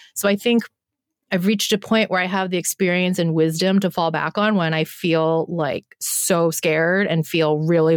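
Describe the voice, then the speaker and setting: A woman speaks in an unremarkable speaking voice at a fairly low pitch and a moderate pace. The sound is dry and close, with no echo. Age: 40s. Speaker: animal photographer and creativity coach. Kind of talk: casual chat.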